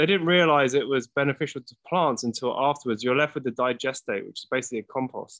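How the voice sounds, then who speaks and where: Speech in an American accent comes at a very fast pace with hardly any pauses and big swings in loudness. The sound is dry and close, with no echo. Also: man, fairly high pitch for a man, ordinary pitch variation. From London, England. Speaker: product company representative. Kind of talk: casual chat.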